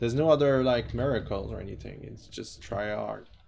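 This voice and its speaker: Music plays in the background and audible room echo fills the space as a man with a non-native accent speaks. He keeps a moderate pace and uses lively intonation. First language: not English. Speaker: artist streamer. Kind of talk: casual live-stream chat.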